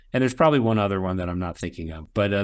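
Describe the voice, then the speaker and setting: On a very clean recording with a silent background, a man with a fairly low pitch and an unremarkable speaking voice talks with ordinary pitch variation. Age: 50s. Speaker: professional association president. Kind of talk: interview.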